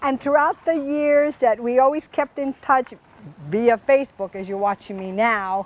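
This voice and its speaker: Speaking at a fairly slow pace, a woman uses ordinary pitch variation with a Hawaiian accent. The sound is dry and close, with no echo. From Hawaii, Oahu. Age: 70s. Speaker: community foundation host. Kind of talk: interview show. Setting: outdoors in a garden.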